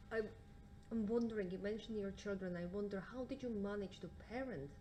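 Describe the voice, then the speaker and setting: Noticeable background noise sits behind a woman speaking at a fairly quick pace. Her pitch is medium, with ordinary variation. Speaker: audience member. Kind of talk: audience question. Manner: loud.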